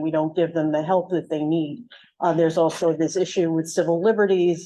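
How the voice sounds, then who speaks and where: A woman with an American accent speaks at a moderate pace in a fairly low pitch, her tone dark and mellow against a quiet background. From New York City, Manhattan. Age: 70s. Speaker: community board member. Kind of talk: public meeting question. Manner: too quiet at first.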